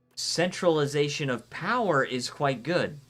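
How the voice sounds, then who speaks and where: Over music in the background, a man with an American accent speaks in an animated tone. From Florida, US South. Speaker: video game streamer. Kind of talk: live gameplay stream commentary with chat reading. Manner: casual, animated.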